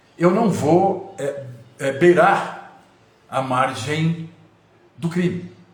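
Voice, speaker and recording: A man's fairly high voice with ordinary pitch variation, noticeable background noise and audible room echo. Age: 60s. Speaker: lawyer and mayoral pre-candidate. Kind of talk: live stream monologue. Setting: Instagram live. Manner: formal.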